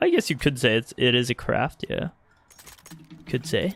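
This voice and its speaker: A fairly high-pitched man with an American accent at a moderate pace, music in the background. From US, Arizona. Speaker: video game streamer. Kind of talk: live gameplay commentary and chat with viewers.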